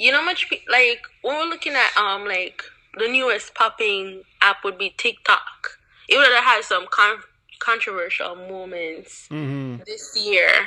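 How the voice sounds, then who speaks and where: With a Jamaican accent, a woman of medium pitch speaks fairly slowly. Her intonation is lively. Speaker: YouTuber. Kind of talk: casual chat.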